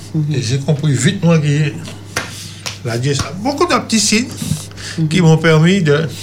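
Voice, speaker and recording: A man's fairly high-pitched voice at a fairly slow pace, broken by long, frequent pauses, over noticeable background noise. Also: lively intonation. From Martinique (Trinité). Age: 50s. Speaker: testimony guest, former brawler. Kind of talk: testimony.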